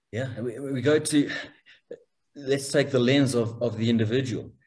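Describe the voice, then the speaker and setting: This man speaks at a medium pitch. His voice is somewhat breathy and his pace fairly slow. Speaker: podcast host. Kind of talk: interview. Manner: halting, many repetitions.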